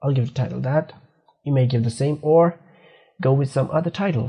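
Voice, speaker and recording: This man's voice is somewhat breathy, with a dark, mellow tone. His pitch sits fairly high, with ordinary pitch variation. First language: not English. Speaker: programming instructor. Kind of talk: screen-recorded coding tutorial. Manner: halting, self-correcting.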